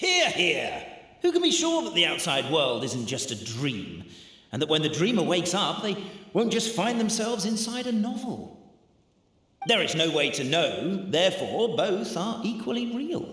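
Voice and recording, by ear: In a put-on character voice, a man speaks fairly slowly with a high pitch, a bright, sharp tone and big pitch swings.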